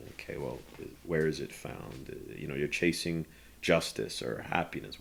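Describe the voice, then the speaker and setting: Vocal fry runs through speech at a fairly slow pace on a very clean recording with a silent background. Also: man. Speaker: street preacher. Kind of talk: interview answer.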